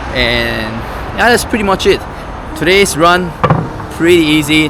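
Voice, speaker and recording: A man with a non-native accent talks at a fairly slow pace. Noticeable background noise runs under his voice. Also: very even loudness. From Myanmar. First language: not English. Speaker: vlogger. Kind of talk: casual vlog talk to camera. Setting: outdoors, walking home.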